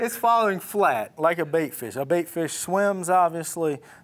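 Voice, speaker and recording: A man's fairly high voice, lively in intonation and fairly slow in pace, over noticeable background noise. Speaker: fishing bait company owner and show host. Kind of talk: fishing tackle tutorial, casual chat. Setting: company headquarters.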